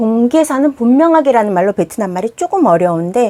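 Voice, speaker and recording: With a fairly high pitch, a woman's voice swings very widely up and down. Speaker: Vietnamese language teacher. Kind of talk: tutorial. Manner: fast.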